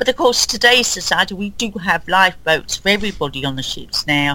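A woman talks at a fairly quick pace with a London accent and lively intonation, at a medium pitch. Noticeable background noise runs underneath. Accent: common London, Southern English. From London, England. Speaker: guest, Titanic enthusiast. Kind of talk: casual interview.

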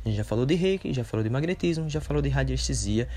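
A man talks with very wide swings in pitch. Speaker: holistic therapist and podcaster. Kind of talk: solo podcast monologue. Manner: hesitant, many fillers.

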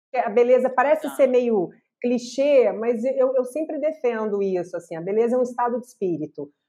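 A woman's high-pitched voice, dark and mellow in tone, with lively intonation over a quiet background. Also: moderate pace. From Brazil, Minas Gerais. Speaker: podcast host. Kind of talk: casual interview.

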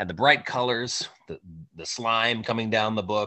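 At a medium pitch and a moderate pace, a man talks in an ordinary speaking voice. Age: 30s. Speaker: podcast co-host. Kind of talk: casual chat. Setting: video call.

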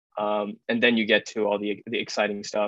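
The voice moves at a fairly quick pace with monotone, flat intonation. The sound is dry and close with no echo, over a quiet background. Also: man. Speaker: podcast co-host. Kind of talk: casual chat.

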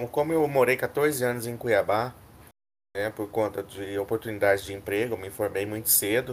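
A man with a normal speaking voice talks at a medium pitch and a moderate pace, with ordinary pitch variation. The recording is very clean, with a silent background. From Mato Grosso, Brazil. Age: 30s. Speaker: medical student, student union candidate. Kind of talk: casual chat; reading proposals aloud.

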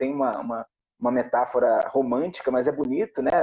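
A man speaks fairly quickly. The sound is dry and close, with no echo. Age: 40s. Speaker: actor and producer. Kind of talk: casual chat. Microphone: audio cutting out at first.

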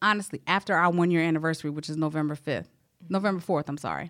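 A woman with an American accent and a fairly low pitch speaks at a very fast pace. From South Carolina. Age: 30s. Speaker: Navy veteran and HR manager. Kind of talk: casual interview, personal health testimony.

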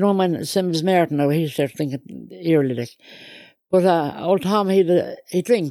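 A woman with a fairly low pitch and a dark, mellow tone. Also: ordinary pitch variation, moderate pace. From Ireland. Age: 70s. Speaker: interviewee, Irish Traveller mother. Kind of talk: life story interview. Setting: in a caravan.

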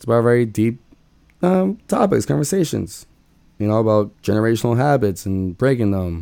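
In a very clean recording with a silent background, a man speaks at a moderate pace and medium pitch with a dark, mellow tone. His pitch swings very widely and his loudness rises and falls sharply. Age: 20s. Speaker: solo podcast host, school worker. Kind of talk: casual monologue. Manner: casual, rambling with self-corrections.

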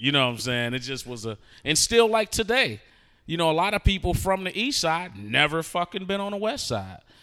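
A man with a bright, sharp tone, very wide pitch swings and a fairly quick pace, on a very clean recording with a silent background. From Detroit. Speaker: rapper. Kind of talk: casual interview.

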